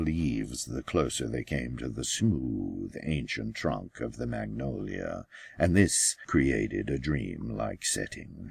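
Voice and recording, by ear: A man speaks slowly with vocal fry, a slightly husky edge and a slightly mellow tone. His pitch swings widely. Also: very clean recording, silent background.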